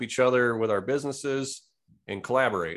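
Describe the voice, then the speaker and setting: A man with an Upper Midwest accent speaks at a medium pitch and a moderate pace. The background is quiet. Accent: Upper Midwest American. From Wisconsin. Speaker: real estate investor and lender. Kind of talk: interview conversation.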